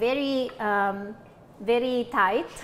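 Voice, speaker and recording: A woman speaks with an Italian accent at a high pitch. Her pitch varies in an ordinary way. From Italy, Abruzzo (Pescara). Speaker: linguistics professor. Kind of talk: cooking show chat. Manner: hesitant, many fillers.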